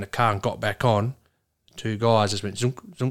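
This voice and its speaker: The sound is dry and close, with no echo. A man with an Australian accent talks in a monotone, flat way. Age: 40s. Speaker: trucking business owner. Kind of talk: casual chat.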